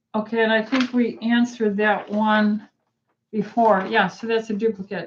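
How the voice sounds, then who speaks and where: At a fairly slow pace, a woman talks in a normal speaking voice with a fairly high pitch. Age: 60s. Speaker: physician. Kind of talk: live Q&A. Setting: livestream. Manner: frequent fillers uh um.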